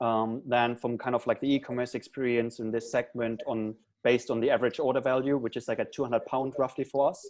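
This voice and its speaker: Talking at a very fast pace with hardly any pauses, a man with a German accent keeps a monotone, flat intonation at a medium pitch. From Germany. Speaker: startup founder. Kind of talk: panel interview.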